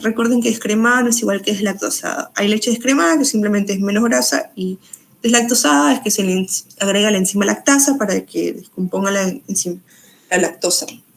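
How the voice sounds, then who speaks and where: Her voice sits at a medium pitch and sounds somewhat breathy. This woman moves at a fairly quick pace with lively intonation. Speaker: nutrition student tutor. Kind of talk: exam review lecture. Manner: fast.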